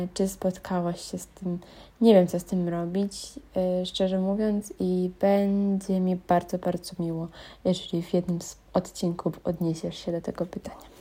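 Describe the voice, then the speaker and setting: A woman speaks fairly slowly at a medium pitch, with a dark, mellow, somewhat breathy tone. Her intonation is monotone and flat, and the recording is very clean over a silent background. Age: 20s. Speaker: listener sending a voice question. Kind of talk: recorded voice message. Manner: halting, many fillers.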